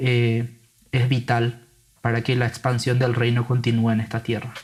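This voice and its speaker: The speaker sounds somewhat breathy and talks at a fairly slow pace. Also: man. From Paraguay (grew up in San Lorenzo). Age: 20s. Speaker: Bible translator. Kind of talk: casual interview conversation.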